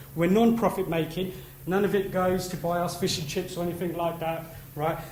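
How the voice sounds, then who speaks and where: With audible room echo, a man talks at a fairly quick pace in a high pitch. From East London. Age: 30s. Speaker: conference speaker, industry trade body representative. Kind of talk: conference talk. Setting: stage with audience. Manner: casual, chatty.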